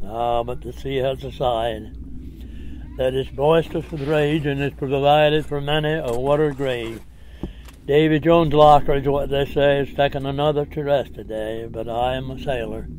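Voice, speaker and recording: Over noticeable background noise, a man speaks at a moderate pace with a fairly high pitch and fairly even intonation. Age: 80s+. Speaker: skipjack captain, waterman. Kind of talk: poetry reading.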